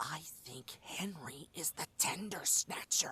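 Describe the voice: A put-on character voice, growling and whispering at a fairly slow pace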